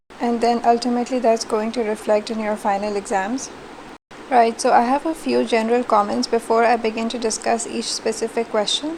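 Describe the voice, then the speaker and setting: Fairly quick and fairly high-pitched, a woman talks with fairly even intonation over noticeable background noise. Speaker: university teacher. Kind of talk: recorded online lecture feedback. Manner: low energy.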